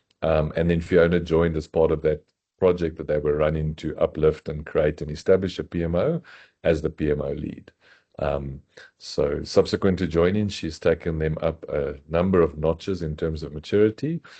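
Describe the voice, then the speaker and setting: In a South African accent, a man speaks at a very deep, low pitch with a dark, mellow tone and monotone, flat intonation. He keeps a moderate pace against a quiet background. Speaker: software company executive. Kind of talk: webinar introduction.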